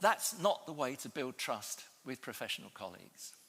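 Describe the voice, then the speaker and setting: A man with a bright, sharp tone and vocal fry speaks at a moderate pace. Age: 70s. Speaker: public health professor. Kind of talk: panel discussion. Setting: stage with audience.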